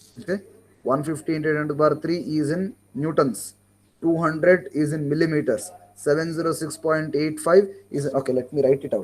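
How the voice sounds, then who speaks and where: A man with an Indian accent speaks at a fairly high pitch. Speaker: engineering lecturer. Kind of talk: online class lecture. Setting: online class.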